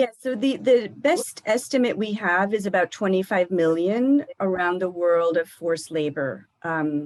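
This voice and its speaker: An unremarkable speaking voice belongs to this woman, pitched at a medium level with lively intonation. She goes fairly slowly, with hardly any pauses. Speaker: government official, trafficking expert. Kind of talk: Q&A after a lecture. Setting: live stream presentation.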